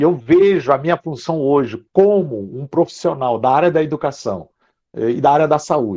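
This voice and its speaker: A man with an ordinary speaking voice, fairly high pitch, lively intonation and a moderate pace over a quiet background. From Brazil. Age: 60s. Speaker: psychology professor. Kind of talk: lecture. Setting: video call.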